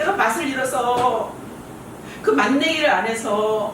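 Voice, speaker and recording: A woman's high voice amid audible room echo and noticeable background noise. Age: 60s. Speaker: pastor. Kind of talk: sermon.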